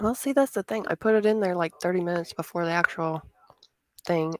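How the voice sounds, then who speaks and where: A woman's fairly low voice with ordinary pitch variation and a slight Southern US accent, very fast in pace, dry and close with no echo. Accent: slight Southern twang. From US South. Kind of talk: casual chat.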